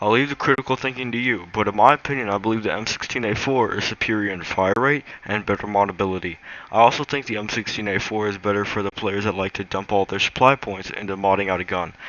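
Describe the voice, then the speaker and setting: Very fast speech from a man with a fairly low pitch, noticeable background noise behind it. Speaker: gaming YouTuber. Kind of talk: game weapon comparison voice-over. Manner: monotone.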